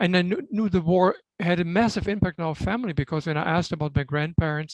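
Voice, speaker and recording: Ordinary pitch variation in a dry, close sound with no echo, on a very clean recording with a silent background. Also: man. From Germany, Bamberg (Franconia). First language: German. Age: 60s. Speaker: doctor and Holocaust history speaker. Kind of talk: interview, personal life story.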